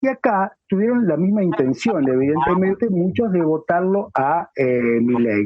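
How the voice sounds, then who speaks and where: A man talks at a fairly slow pace and a high pitch, his pitch swinging very widely. He keeps a very even loudness and hardly pauses. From Argentina, near Rosario. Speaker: talk show co-host. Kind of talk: interview conversation. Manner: halting.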